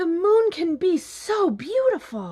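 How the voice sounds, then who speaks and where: Slowly, at a fairly slow pace, a woman puts on a character voice. It is extremely high-pitched, with very wide pitch swings. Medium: read story.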